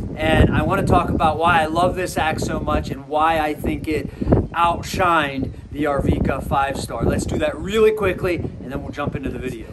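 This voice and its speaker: A man's voice with ordinary pitch variation against loud background noise. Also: moderate pace. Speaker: tool reviewer vlogger. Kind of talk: casual vlog chat. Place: street. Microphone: lapel.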